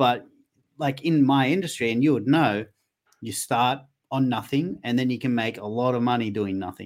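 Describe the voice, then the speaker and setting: This is a man with an ordinary speaking voice. He keeps to a moderate pace. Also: medium pitch for a man, ordinary pitch variation. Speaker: comedian and livestream host. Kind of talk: casual chat. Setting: video call.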